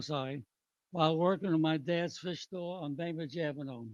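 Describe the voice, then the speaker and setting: Recorded with a dry, close sound and no echo, a man with an American accent speaks at a fairly quick pace in a high-pitched voice with ordinary pitch variation. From New York City, the Bronx. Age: 90s. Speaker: retired businessman and army veteran. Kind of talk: public hearing testimony. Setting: public hearing with audience.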